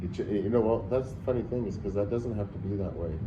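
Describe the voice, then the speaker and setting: A man with an American accent talks at a very fast pace in a fairly low pitch with ordinary pitch variation. Noticeable background noise and audible room echo come through. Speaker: traveler. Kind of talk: casual chat.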